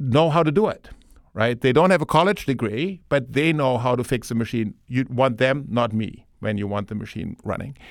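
On a very clean recording with a silent background, a man with a German accent speaks at a moderate pace. His fairly high voice moves in very wide pitch swings. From Germany. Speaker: board chairman and business owner. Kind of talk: interview. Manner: hesitant with many fillers.

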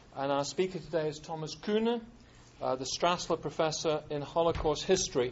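Speaking fairly quickly, a man uses an ordinary speaking voice pitched fairly high. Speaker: lecture series organizer. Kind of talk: formal introduction. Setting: stage with audience. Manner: formal.

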